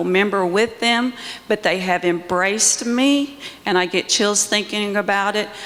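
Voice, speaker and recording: A woman's voice with ordinary pitch variation and a fairly slow pace, over noticeable background noise. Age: 60s. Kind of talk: panel discussion. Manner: halting.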